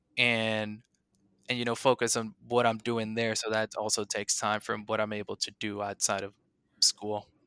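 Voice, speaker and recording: With a Spanish accent, this voice has a bright, sharp tone and a flat, monotone delivery at a moderate pace. The recording is very clean, dry and close, with a silent background and no echo. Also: man, fairly low pitch for a man. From Puerto Rico. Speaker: physical therapy student. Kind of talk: interview, casual chat.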